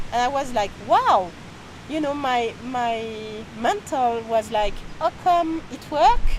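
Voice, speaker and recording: Very slowly and with long, frequent pauses, a woman with a French accent speaks at a high pitch over noticeable background noise. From France. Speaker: energy healer and author. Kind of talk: interview. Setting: outdoors near a restaurant in Peru. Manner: halting.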